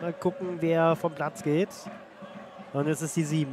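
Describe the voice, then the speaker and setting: Over light background noise, a man speaks in an unremarkable speaking voice at a moderate pace with fairly even intonation. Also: dry sound with no echo. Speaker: football commentator. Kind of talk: live sports commentary. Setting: stadium. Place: stadium.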